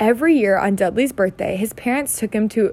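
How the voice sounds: This is a natural reading voice. It is heard here.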